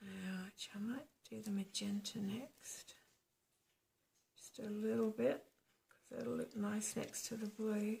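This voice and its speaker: Long, frequent pauses mark this woman's very slow speech, which is fairly high in pitch with fairly even intonation. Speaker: acrylic pouring artist. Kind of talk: tutorial. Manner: soft-spoken; quieter when concentrating.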